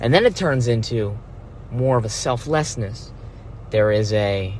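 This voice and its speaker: Speaking fairly slowly, a man with a somewhat breathy voice uses ordinary pitch variation. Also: medium pitch for a man. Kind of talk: philosophical monologue to camera. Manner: casual, rambling.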